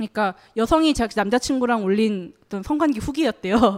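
A woman with a fairly high pitch speaks at a moderate pace with lively intonation, the sound dry and close with no echo. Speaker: journalist. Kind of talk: panel discussion. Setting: stage with audience.

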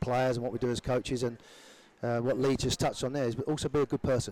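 With an English accent, a man talks at a very fast pace in a medium pitch, his intonation monotone and flat, and the sound dry and close with no echo. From England. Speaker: former pro footballer turned youth soccer coach. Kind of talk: casual interview chat.

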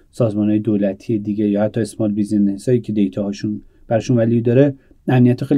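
A man talks at a very fast pace. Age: 30s. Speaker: startup founder. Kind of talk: interview. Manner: halting.

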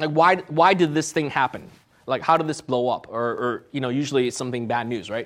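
A man with an ordinary speaking voice, fairly high pitch, ordinary pitch variation and a fairly quick pace, on a very clean recording with a silent background. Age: 40s. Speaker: entrepreneur, startup CEO. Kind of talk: guest lecture.

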